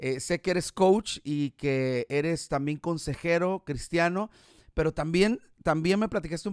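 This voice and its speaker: A man with an unremarkable speaking voice and a fairly high pitch talks at a fairly slow pace with ordinary pitch variation. The very clean recording has a silent background and a dry, close sound with no echo. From Mexico, Guadalajara, Jalisco. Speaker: podcast host. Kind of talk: casual interview chat. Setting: live stream.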